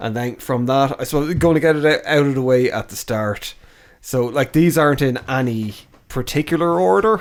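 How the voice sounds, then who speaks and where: A man with an Irish accent, medium pitch, ordinary pitch variation and a moderate pace. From Ireland. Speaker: podcast co-host. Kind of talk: casual chat. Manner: casual, informal.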